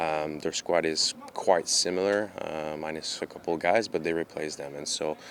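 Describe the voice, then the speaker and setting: A man speaks at a fairly slow pace with a very deep, low pitch and fairly even intonation. Noticeable background noise runs underneath. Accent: Quebec. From Canada. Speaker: professional soccer goalkeeper. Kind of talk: press conference interview. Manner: hesitant, many fillers.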